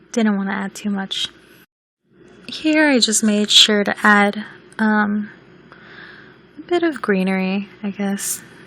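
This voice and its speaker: Very slow, lively intonation from a woman with a fairly high pitch. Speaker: video game builder. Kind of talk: casual gameplay voice-over.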